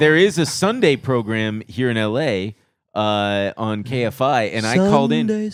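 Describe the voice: A normal speaking voice at a fairly slow pace, with lively intonation. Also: man, medium pitch for a man, very clean recording, silent background.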